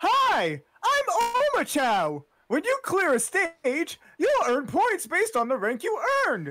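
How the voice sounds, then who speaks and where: A put-on character voice with a high pitch. It moves at a fairly slow pace. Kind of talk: game tutorial dialogue. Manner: bright, chipper, explanatory.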